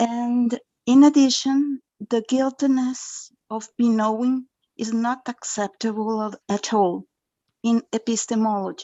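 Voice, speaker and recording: Someone speaks at a very slow pace with a Spanish accent. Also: woman, fairly even intonation. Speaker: conference attendee asking a question. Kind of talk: academic Q&A. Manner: halting.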